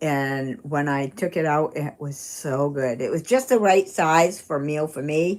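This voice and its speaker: Against noticeable background noise, a woman with a Maine accent speaks at a fairly slow pace with hardly any pauses, her very deep, low voice carrying lively intonation. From Maine, US. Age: 60s. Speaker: retired runner and live streamer. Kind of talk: casual live-stream chat. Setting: live stream reading chat. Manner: halting, many fillers.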